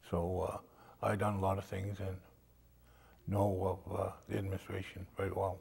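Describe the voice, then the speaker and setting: A man speaks with an American accent. His voice is somewhat breathy and his intonation monotone and flat. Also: fairly low pitch for a man, moderate pace. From Maine, US (Indian Township, Passamaquoddy community). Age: 70s. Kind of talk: oral history interview. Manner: hesitant, many fillers.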